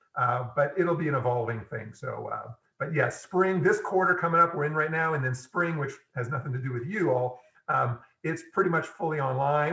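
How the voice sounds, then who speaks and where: A man with a fairly high voice speaks fairly quickly, his pitch varying in an ordinary way. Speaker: engineering professor. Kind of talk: lecture. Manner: fast.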